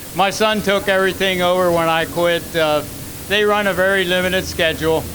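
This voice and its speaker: Flat, monotone intonation and very even loudness come through audible room echo and noticeable background noise. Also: man, high pitch for a man. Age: 80s+. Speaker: retired race car owner. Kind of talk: acceptance speech. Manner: halting.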